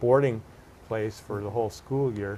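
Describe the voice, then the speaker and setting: A man talks at a fairly quick pace and medium pitch. His is an unremarkable speaking voice. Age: 60s. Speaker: political candidate. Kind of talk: interview.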